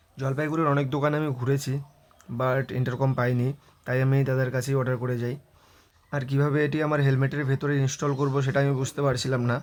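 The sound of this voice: At a fast pace, a man speaks with a medium pitch, a slightly mellow tone and little pitch movement.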